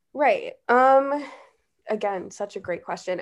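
Very slowly, a woman talks with ordinary pitch variation over a quiet background. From Chicago, Illinois. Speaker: cannabis marketing professional. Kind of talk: casual interview chat.

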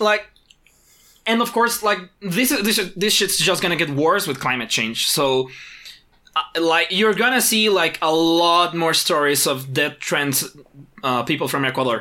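The pace is fairly slow on a very clean recording with a silent background. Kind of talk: casual chat. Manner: animated, profane.

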